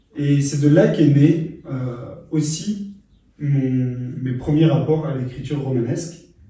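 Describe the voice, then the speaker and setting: A man speaks at a very slow pace with fairly high pitch. His intonation stays fairly even, and the room echo is audible. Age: 30s. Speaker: author and journalist. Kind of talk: interview. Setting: studio. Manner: hesitant, many fillers and repetitions.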